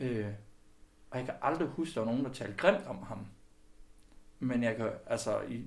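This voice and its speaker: Vocal fry marks this man's medium-pitched voice, heard with audible room echo. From West Jutland, Denmark (Skjern area). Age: 30s. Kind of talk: interview.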